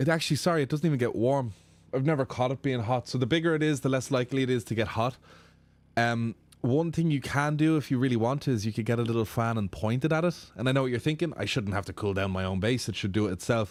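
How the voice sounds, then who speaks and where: A man talks at a very fast pace in an animated tone, with medium pitch and ordinary pitch variation. The recording is very clean, with a silent background. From Ireland. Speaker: sim racing streamer. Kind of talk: live stream chat reading viewer comments. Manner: casual, animated.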